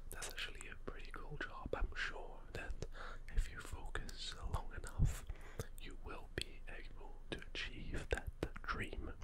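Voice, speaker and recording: Over loud background noise, a soft-spoken man talks at a fairly slow pace in a soothing tone with ordinary pitch variation. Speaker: ASMR role-play host. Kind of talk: soft-spoken role-play. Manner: soft, soothing ASMR voice. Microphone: studio mic.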